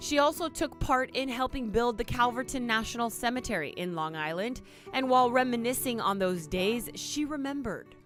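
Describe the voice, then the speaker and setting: With music playing behind her, a high-pitched woman talks fairly fast, barely pausing, her pitch swinging very widely. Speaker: TV news reporter. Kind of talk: TV news report.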